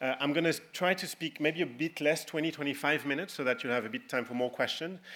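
With a French accent, a man talks at a fairly quick pace in a fairly high, bright and sharp voice with ordinary pitch variation. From France. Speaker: political tech entrepreneur. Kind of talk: conference talk.

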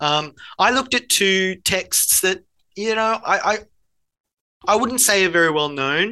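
A man with a high pitch and an Australian accent uses a raised, projected voice with a bright, sharp tone, lively intonation, a fairly slow pace and long, frequent pauses against a quiet background. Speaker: learning designer, former high school teacher. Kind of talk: casual interview.

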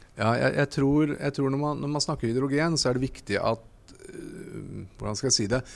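A man's fairly high voice, a plain, everyday voice, at a moderate pace with ordinary pitch variation. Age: 40s. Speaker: hydrogen company CEO. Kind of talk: interview. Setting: trade fair stand.

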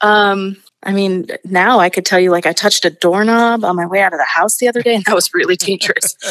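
With an American accent, a woman talks at a fairly quick pace with hardly any pauses. She has a normal speaking voice. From Astoria, Queens, New York. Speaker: senior producer. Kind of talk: casual interview.

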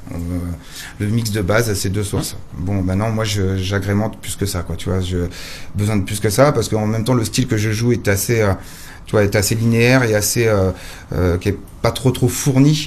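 A man's fairly low voice with fairly even intonation and audible room echo. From western France. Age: 40s. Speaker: DJ. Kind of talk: interview. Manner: halting.

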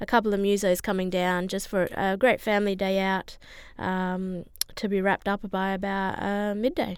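The speaker talks in an Australian accent at a moderate pace, with monotone, flat intonation. The recording is very clean, with a silent background. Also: woman. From Broome, Western Australia. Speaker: parent of a child with heart disease. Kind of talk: radio interview.

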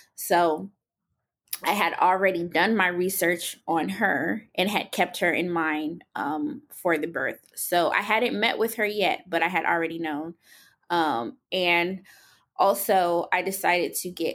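The recording is very clean, with a silent background. A woman uses an ordinary speaking voice, fairly low in pitch, with ordinary pitch variation at a fairly slow pace. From Columbia, South Carolina (military family). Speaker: new mother, media relations worker. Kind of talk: personal testimony in interview.

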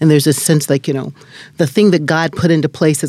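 With ordinary pitch variation, a woman speaks in a very deep, low pitch and a dark, mellow tone. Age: 50s. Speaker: minister. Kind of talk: interview.

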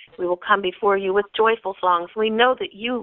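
A woman talks at a moderate pace in a medium pitch. She has an ordinary speaking voice. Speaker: caller praying. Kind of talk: fervent prayer. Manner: earnest, reverent.

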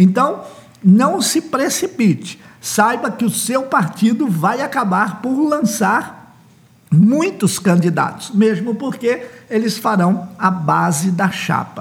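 A high-pitched male voice with a Brazilian accent and lively intonation, at a very slow pace. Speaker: author and political consultant promoting his book. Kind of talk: promotional podcast monologue on elections.

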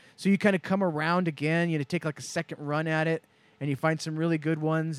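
A normal speaking voice moves at a fairly quick pace. The recording is very clean with a silent background, and the sound is dry and close with no echo. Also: man. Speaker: co-host or guest. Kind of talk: casual chat.

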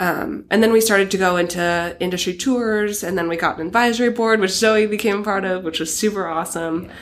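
With an American accent, a woman speaks at a medium pitch and fairly quick pace, with ordinary pitch variation and hardly any pauses. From Oregon coast, US Pacific Northwest. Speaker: assistant buyer at a sportswear company. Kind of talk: interview.

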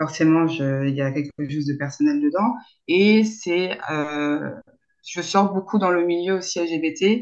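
A woman's very slow speech carries lively intonation. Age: 30s. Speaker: sex therapist. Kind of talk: interview. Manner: halting, many fillers and repetitions.

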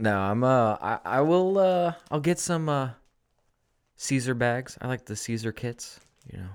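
Speaking slowly-ish at a fairly slow pace, a man with a plain, everyday voice and medium pitch uses lively intonation in a very clean recording with a silent background. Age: 30s. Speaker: podcast co-host. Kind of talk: casual chat.

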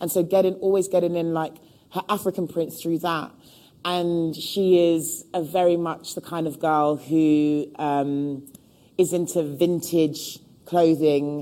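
A woman's fairly low, dark and mellow voice in a London accent, with monotone, flat intonation at a fairly slow pace. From London (Hackney), England. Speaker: costume designer. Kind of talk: public talk interview. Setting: stage with live audience.

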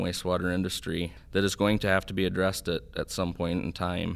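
In an Upper Midwest accent, a man speaks with a very deep, low pitch and monotone, flat intonation at a moderate pace. The recording is very clean, with a silent background. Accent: Upper Midwest American. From US Midwest, northeast Iowa. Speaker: water association executive. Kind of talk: interview.

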